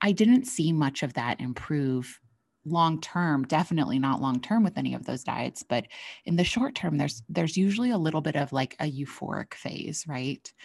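A woman's very deep, low voice with lively intonation at a moderate pace, on a very clean recording with a silent background. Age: 30s. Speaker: nutrition professional and podcast host. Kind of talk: solo podcast monologue.

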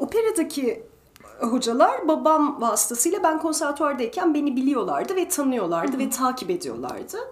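High-pitched and moving at a moderate pace, a woman's voice makes very wide pitch swings. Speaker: retired principal ballet dancer and ballet teacher. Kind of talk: interview.

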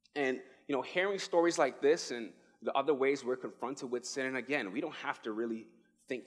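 The speaker has a New York accent and an animated tone at a fairly quick pace. Music plays in the background. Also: man. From New York City (the Bronx). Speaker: pastoral resident. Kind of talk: sermon.

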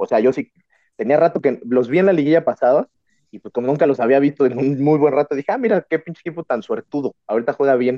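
His pitch varies in an ordinary way. The man delivers his words at a very fast pace. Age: 30s. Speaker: podcast host. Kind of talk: casual chat.

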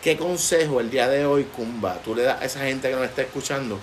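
Fairly even intonation and a fairly quick pace are heard over noticeable background noise. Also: man. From Puerto Rico. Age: 30s. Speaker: podcast host. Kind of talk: casual interview chat. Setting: outdoor patio at home.

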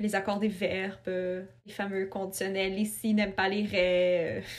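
A woman's medium-pitched voice, monotone and flat, with audible room echo. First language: not French; family of Ukrainian and Russian origin (speaking French). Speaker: writer. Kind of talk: casual interview.

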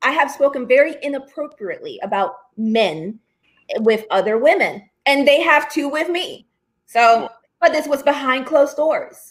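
A woman with a high pitch speaks at a moderate pace with lively intonation. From Newark, New Jersey, US. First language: Spanish. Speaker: conservative activist and media founder. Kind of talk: political interview.

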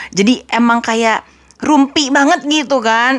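High-pitched and animated, a woman speaks. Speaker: podcast host. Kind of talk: casual chat.

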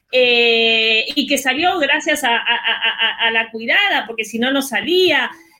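A woman speaks with lively intonation. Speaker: feminist activist. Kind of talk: panel discussion.

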